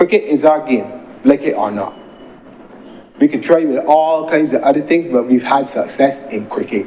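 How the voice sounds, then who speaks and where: A man's fairly high voice at a moderate pace, with ordinary pitch variation, long, frequent pauses, and noticeable background noise. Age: 60s. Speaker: senator. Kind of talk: parliamentary speech. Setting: parliament chamber.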